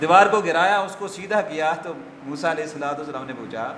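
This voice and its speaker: A man talks with ordinary pitch variation. There is noticeable background noise behind him. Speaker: Islamic scholar giving a sermon. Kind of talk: religious sermon (khutba-style lecture).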